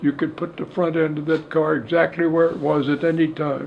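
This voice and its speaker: Noticeable background noise sits under this recording. A man with a fairly high pitch speaks at a moderate pace. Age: 80s+. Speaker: firearms expert and ballistics examiner. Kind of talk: interview answer.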